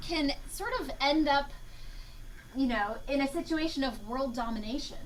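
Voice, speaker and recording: Her voice high in pitch with ordinary variation, a woman speaks at a moderate pace amid noticeable background noise and audible room echo. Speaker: entomology professor. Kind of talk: lecture.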